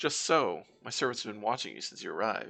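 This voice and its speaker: The put-on character voice races along at a very fast pace. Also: man. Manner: imperious; arrogant.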